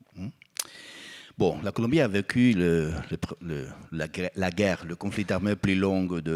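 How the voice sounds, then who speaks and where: Recorded with a dry, close sound and no echo, a man with a Spanish accent speaks fairly slowly in a very deep, low pitch, with big swings in loudness. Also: ordinary pitch variation. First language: Spanish (speaking French). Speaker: psychologist and truth commissioner. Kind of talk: conference panel talk. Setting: auditorium with audience. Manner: halting.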